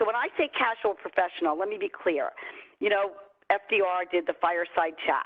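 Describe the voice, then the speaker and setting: With a New York accent, a woman talks at a fairly quick pace in a medium pitch. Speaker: company CEO and trainer. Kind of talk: online training webinar. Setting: video call. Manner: fast; casual.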